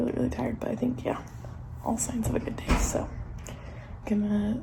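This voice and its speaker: Over noticeable background noise, the speech comes as a whisper delivered at a fairly quick pace. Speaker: teacher vlogger. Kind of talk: casual vlog. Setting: outdoors walking. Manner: whispering.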